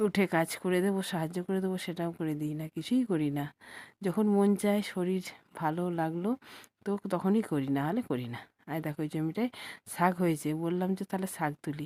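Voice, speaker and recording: A woman's fairly low, dark and mellow voice with ordinary pitch variation, dry and close with no echo, on a very clean recording against a silent background. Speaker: vlogger. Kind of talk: vlog narration. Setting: outdoors in village fields.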